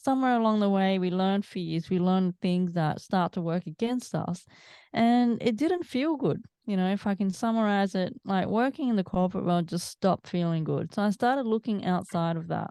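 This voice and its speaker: In an Australian accent, a woman speaks at medium pitch with a dark, mellow tone and very even loudness. The sound is dry and close with no echo, over a quiet background. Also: ordinary pitch variation, moderate pace. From Australia, Melbourne. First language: Italian. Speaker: mindset coach. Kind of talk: interview.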